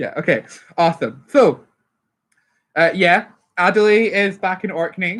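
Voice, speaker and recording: The speech goes at a fairly slow pace with long, frequent pauses. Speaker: dungeon master. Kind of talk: tabletop role-play session. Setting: group recording with one player joining online.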